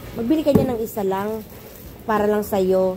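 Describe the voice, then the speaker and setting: Noticeable background noise sits behind a woman's medium-pitched voice. She speaks at a moderate pace with ordinary pitch variation. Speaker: vlogger. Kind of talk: casual vlog chat. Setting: grocery store.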